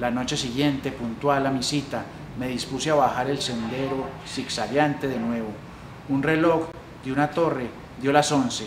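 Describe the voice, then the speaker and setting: Amid noticeable background noise, a man speaks at a moderate pace and medium pitch with fairly even intonation. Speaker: library staff reader. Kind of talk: literary story reading.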